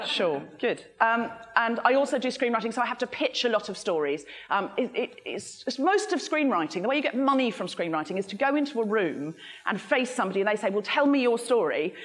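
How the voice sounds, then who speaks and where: A woman speaks fairly quickly with very wide pitch swings. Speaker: speaker. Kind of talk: talk to a live audience, comic. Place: hall.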